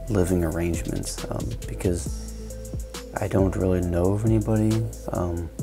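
A man talks at a moderate pace, his pitch very deep and low. Clear music plays in the background. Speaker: artist vlogger. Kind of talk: casual vlog chat. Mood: reflective, thoughtful. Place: home room.

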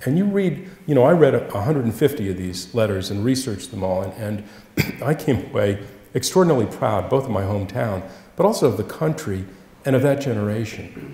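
With audible room echo, a man speaks at a fairly quick pace in a somewhat breathy, dark, mellow tone, his pitch swinging very widely. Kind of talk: Q&A answer at a public talk. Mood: warm, earnest, reflective. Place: church.

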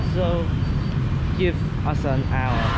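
A man's voice sounds dry, with no echo. Loud noise fills the background. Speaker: vlogger. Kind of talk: casual vlog chat. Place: street. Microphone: phone near.

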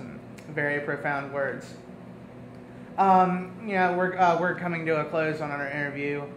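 Against light background noise and audible room echo, a man with a fairly high voice speaks fairly slowly in a fairly even intonation, with long, frequent pauses. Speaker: student interviewer. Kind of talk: interview. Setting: green room of a performing arts center. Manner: hesitant, many fillers. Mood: relaxed, slightly hesitant.

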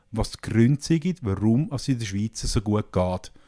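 This man's dark, mellow tone comes through at a moderate pace in a dry, close recording with no echo and a silent, very clean background. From Switzerland, canton Nidwalden. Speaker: parliamentary journalist. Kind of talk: political discussion.

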